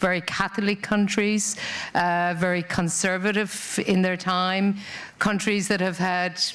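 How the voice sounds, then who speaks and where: With an Irish accent, a woman speaks at a fairly slow pace in a medium pitch, with monotone, flat intonation and very even loudness, amid audible room echo. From rural Ireland. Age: 50s. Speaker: corporate diversity and inclusion head. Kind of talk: conference talk.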